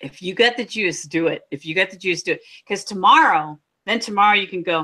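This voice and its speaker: At a fairly quick pace, a woman speaks at medium pitch with ordinary pitch variation. Her tone is bright and sharp, and her loudness swings widely. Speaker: beauty vlogger. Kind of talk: casual chat.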